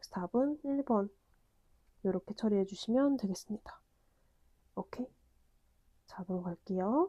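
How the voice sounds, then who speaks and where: The dark, mellow, somewhat breathy voice has lively intonation, big swings in loudness and long, frequent pauses, with a dry, close sound with no echo. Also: woman, fairly high pitch for a woman, moderate pace. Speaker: math lecturer. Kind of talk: lecture.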